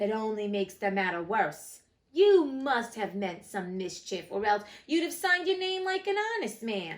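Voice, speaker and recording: A woman uses a put-on character voice, fairly high in pitch and full of cackling. Her pitch swings very widely at a moderate pace. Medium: read story. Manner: pompous, blustering.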